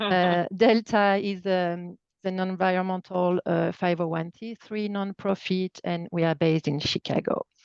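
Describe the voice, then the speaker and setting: A woman speaks with a slight French accent at a fairly slow pace, with hardly any pauses. Her intonation is flat and monotone, and the sound is dry and close with no echo. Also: medium pitch for a woman. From France. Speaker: nonprofit environmental project staff. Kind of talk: webinar presentation.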